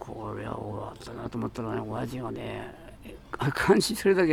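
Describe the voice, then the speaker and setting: Noticeable background noise sits behind talking that proceeds at a moderate pace. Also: man. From Tokyo (Akasaka). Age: 90s. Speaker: electronics shop owner. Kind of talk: interview. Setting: in his shop.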